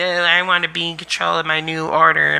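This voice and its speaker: Over light background noise, a man does a whiny, put-on character voice at a fairly high pitch and a fairly quick pace. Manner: whining.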